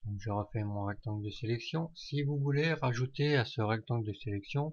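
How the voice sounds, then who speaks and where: Over a quiet background, a man talks at medium pitch, somewhat breathy, with ordinary pitch variation. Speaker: software tutorial maker. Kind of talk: tutorial. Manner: hesitant, many fillers.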